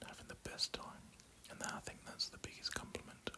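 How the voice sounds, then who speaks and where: The man whispers. Background noise is noticeable behind him. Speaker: ASMR content creator. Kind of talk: casual storytelling about his wedding day. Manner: whispered, soft-spoken.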